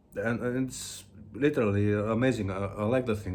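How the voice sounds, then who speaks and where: Here is a man with a fairly low pitch. He speaks with a Greek accent. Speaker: music video blogger. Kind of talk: casual video monologue. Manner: halting, many fillers.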